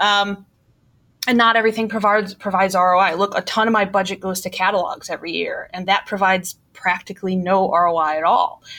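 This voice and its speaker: Bright and sharp in tone, the voice moves at a fairly quick pace with fairly even intonation and a slight Milwaukee accent. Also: woman, medium pitch for a woman. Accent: Milwaukee Midwestern, slight. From Milwaukee, US Midwest. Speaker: marketing executive. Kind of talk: casual interview.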